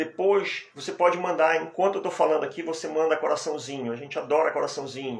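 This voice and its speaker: Very fast speech with hardly any pauses, ordinary pitch variation and noticeable background noise. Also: man, fairly high pitch for a man. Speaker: hypnotherapist and hypnosis teacher. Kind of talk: live stream talk. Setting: live stream. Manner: soft-spoken.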